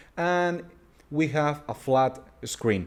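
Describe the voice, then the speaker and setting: With a Spanish accent, the speaker goes at a very slow pace and uses ordinary pitch variation. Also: man. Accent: Spanish-accented English, noticeable. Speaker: tech reviewer. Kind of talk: product review. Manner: halting.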